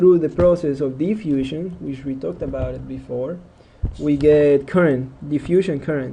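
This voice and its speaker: A man speaks in an ordinary speaking voice at a moderate pace, fairly high in pitch with fairly even intonation. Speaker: engineering lecturer. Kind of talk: lecture.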